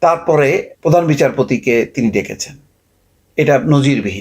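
A man talks with lively intonation and a fairly high pitch. Vocal fry runs through his voice. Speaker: political commentator. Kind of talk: political commentary monologue.

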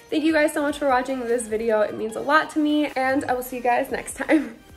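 Faint music plays in the background as a woman speaks at a high pitch. Her pace is fairly quick and her intonation fairly even. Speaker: vlogger. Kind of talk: casual vlog chat. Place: home room. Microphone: phone near.

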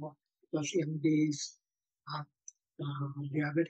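Against a quiet background, a man speaks fairly slowly in a somewhat breathy voice with monotone, flat intonation and a dry sound with no echo. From Singapore. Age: 70s. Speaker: blogger recalling childhood memories. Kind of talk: oral history interview. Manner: halting. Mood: reflective reminiscing. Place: home room. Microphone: video call.

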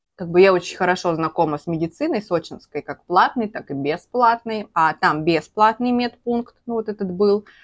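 The background is quiet as a woman speaks. Her pace is moderate and her intonation lively. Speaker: vlogger. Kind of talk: casual vlog chat, storytelling while eating. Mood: animated, emotional storytelling. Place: home room. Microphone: lapel.

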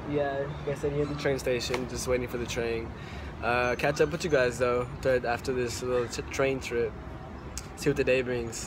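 Background noise is noticeable in this clip. A man talks with long, frequent pauses. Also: ordinary pitch variation, moderate pace. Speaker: vlogger. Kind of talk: casual vlog chat. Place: station. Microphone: phone near.

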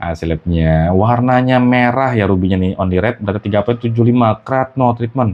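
A man speaks at a fairly slow pace with hardly any pauses. His medium pitch shows ordinary variation. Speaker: gem channel host. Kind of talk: street seller pitchman. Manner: animated, excitable.

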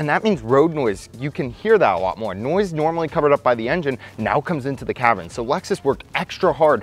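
With faint music in the background, a man talks at a very fast pace with hardly any pauses, the sound dry with no echo. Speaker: car reviewer. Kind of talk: product review commentary. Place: hall.

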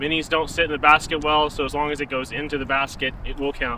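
There is light background noise as a man talks at a fairly quick pace. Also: dry sound with no echo. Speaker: disc golf video host. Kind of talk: casual explanation of game rules. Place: open country.

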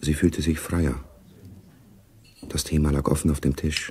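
In a put-on character voice, a man speaks at an extremely low pitch with a husky, rough edge, a slightly mellow tone, little pitch movement and a fairly slow pace.

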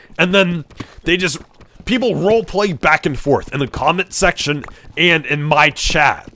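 In a bright, sharp tone, a man speaks at a high pitch and a fairly slow pace, with ordinary pitch variation and very even loudness. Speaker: gaming livestreamer. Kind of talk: live gameplay stream chat. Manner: casual, hesitant.

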